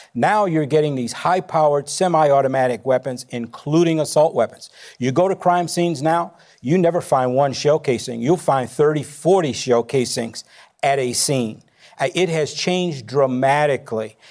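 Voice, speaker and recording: A man with an American accent has an unremarkable speaking voice, fairly high in pitch with ordinary pitch variation. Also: moderate pace. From Chicago. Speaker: former police chief. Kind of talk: town hall panel discussion.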